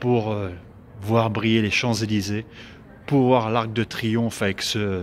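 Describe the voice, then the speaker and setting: The pace is very slow, with long, frequent pauses. A man speaks in a fairly low pitch. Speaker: comedian. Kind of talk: casual talk to camera. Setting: outdoors. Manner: animated, rambling.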